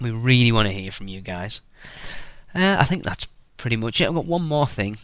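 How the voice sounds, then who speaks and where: A man with a British accent, quiet background. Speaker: podcast host. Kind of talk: podcast intro monologue. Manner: rambling, many fillers.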